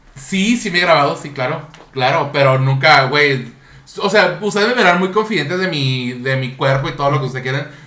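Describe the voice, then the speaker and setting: Audible room echo carries a man's fairly high voice, which moves at a fairly quick pace with lively intonation. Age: 30s. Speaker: podcast host. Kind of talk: casual chat. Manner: animated.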